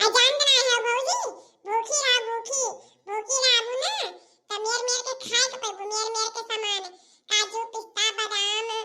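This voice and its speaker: A female-sounding, cartoonish character voice comes at a moderate pace with an extremely high pitch. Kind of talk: comic rustic dialect cartoon. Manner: gossipy.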